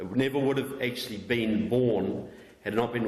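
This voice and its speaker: Spoken with a New Zealand accent, the voice carries audible room echo. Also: man. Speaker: author and political researcher. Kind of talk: public talk.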